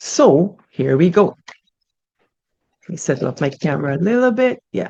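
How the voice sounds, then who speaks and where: The voice has a Guyanese accent. Its pitch swings very widely. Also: woman. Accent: Guyanese English with Creolese code-switching. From Guyana, Buxton village. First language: Guyanese Creolese. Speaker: storyteller, channel host. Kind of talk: casual chat and reading aloud. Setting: home recording on Zoom. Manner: expressive, code-switching.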